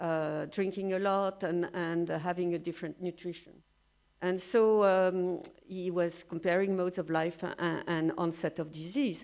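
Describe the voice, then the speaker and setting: On a very clean recording with a silent background, a woman speaks at a moderate pace in a French accent with fairly even intonation. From France. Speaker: researcher. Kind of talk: lecture. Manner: halting, many fillers.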